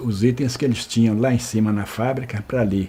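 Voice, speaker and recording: A man talks at a medium pitch in a dark, mellow tone. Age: 70s. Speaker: retired store manager, oral history interviewee. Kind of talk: oral history interview. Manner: halting, many repetitions and false starts.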